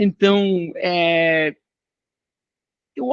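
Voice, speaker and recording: A man talks in a high pitch with ordinary pitch variation and a non-native accent. The sound is dry and close, with no echo. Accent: foreign accent in Portuguese. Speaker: finance industry executive. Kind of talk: interview. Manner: casual, animated.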